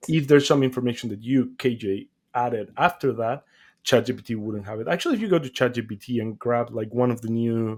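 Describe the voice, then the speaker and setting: A man with a non-native accent talks very fast in a medium-pitched voice. His intonation stays fairly even while his loudness swings widely. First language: not English. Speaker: podcast co-host. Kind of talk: casual chat. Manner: halting.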